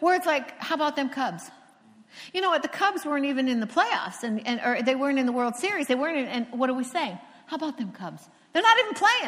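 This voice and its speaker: A woman with an American accent talks at a very fast pace, her pitch high with very wide swings. Noticeable background noise runs beneath her. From Cocoa Beach, Florida. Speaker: preacher. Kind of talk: sermon. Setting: stage with audience.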